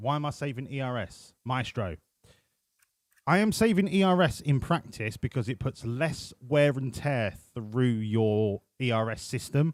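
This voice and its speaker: Medium-pitched man with a British accent, lively intonation, fairly slow pace, very clean recording and silent background. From UK. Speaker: video game streamer. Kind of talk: live stream commentary. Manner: casual, chatty.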